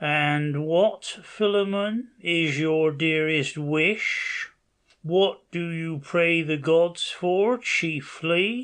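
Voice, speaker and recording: A man's high-pitched, put-on character voice at a very slow pace. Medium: read story. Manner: solemn, measured.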